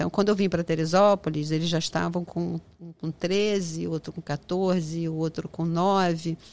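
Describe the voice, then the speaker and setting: The recording is very clean, with a silent background. A woman talks at a moderate pace and fairly low pitch, her intonation monotone and flat. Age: 60s. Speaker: businesswoman, restaurant association president. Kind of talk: interview.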